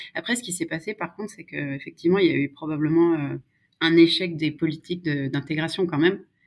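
A woman talks with an unremarkable speaking voice, fairly low in pitch and at a fairly quick pace. Her intonation stays fairly even while her loudness swings widely. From France, Savoie (Maurienne valley). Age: 30s. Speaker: political adviser. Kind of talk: casual interview.

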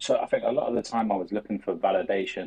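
A man speaks in a South London accent. His pace is very fast. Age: 20s. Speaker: sports content creator. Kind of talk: casual chat.

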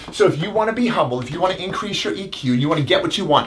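Talking at a very fast pace, a man sounds animated with lively intonation, and noticeable background noise sits behind him. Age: 30s. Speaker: chiropractor and self-help video host. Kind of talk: motivational talk. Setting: live stream.

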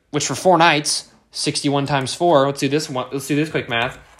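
A man talks with an American accent. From Kansas, US. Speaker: podcast host, college student. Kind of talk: casual solo monologue. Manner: animated.

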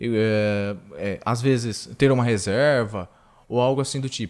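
A man with a plain, everyday voice speaks at a medium pitch, his pitch rising and falling in an ordinary way. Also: very clean recording, silent background. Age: 20s. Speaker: podcast host. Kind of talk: interview.

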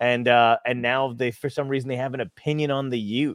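A man with an American accent speaks at a medium pitch and a fairly quick pace in a normal speaking voice. The sound is dry and close with no echo, on a very clean recording with a silent background. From New Jersey. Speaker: comedian. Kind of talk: casual chat.

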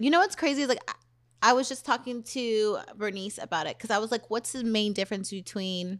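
On a very clean recording with a silent background, a woman with a plain, everyday voice and a fairly high pitch speaks at a fairly quick pace with ordinary pitch variation. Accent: American. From Southern California. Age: 30s. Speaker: podcast host, dancer. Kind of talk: casual chat.

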